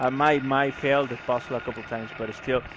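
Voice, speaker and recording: A man talks at a moderate pace with a non-native accent. There is noticeable background noise. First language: not English. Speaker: video game streamer. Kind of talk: casual livestream commentary while gaming. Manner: halting, many repeated words and fillers.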